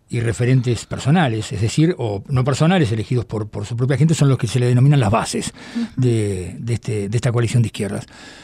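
A man talks with lively intonation. His tone is dark and mellow, and somewhat breathy. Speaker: radio host. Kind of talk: radio interview.

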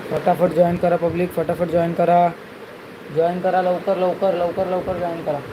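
Over noticeable background noise, a man talks in a high, monotone voice with flat intonation. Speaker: gaming streamer. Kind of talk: live gaming stream commentary.

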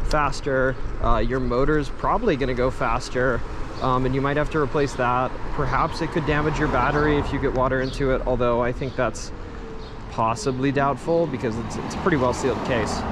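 A man talks at a fairly quick pace, with a dry sound and no echo. Noticeable background noise runs underneath. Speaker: commuter vlogger. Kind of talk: casual vlog chat. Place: street. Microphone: phone near.

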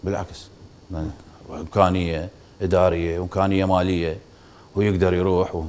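A man with an Iraqi accent speaks at a fairly quick pace in a very deep, low voice. His loudness swings widely, and he leaves long, frequent pauses. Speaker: football club board member; talk show guest. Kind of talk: TV interview. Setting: studio. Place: studio. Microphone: lapel.

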